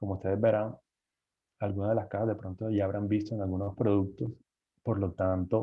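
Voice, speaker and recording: Here a man talks at a fairly low pitch. His intonation stays fairly even. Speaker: engineer giving guest lecture on cardboard packaging. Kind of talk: lecture.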